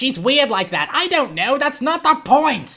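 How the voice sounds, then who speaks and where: A put-on character voice that sounds female is high, nasal and shrill, delivered at a moderate pace. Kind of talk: comic overacting.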